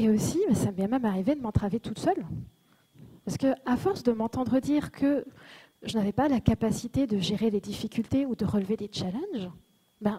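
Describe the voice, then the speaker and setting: The voice has a dark, mellow tone and is somewhat breathy. The sound is dry and close, with no echo. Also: woman. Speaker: conference speaker. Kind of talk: conference talk. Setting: stage with audience.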